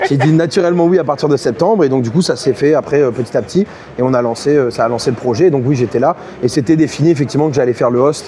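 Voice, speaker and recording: A man talks at a very fast pace with very even loudness over noticeable background noise. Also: fairly high pitch for a man, ordinary pitch variation. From southern France, Montpellier. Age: 30s. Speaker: esports caster and host. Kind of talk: interview. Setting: on site at esports event. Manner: halting, many fillers.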